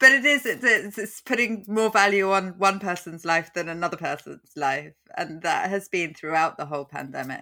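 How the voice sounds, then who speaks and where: Here a woman has an unremarkable speaking voice at medium pitch. She moves at a moderate pace with lively intonation and hardly any pauses. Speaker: podcast host. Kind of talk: casual chat.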